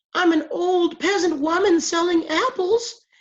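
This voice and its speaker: A squeaky, female-sounding put-on character voice speaks at a moderate pace in an extremely high pitch. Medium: read story. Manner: wheedling, falsely sweet.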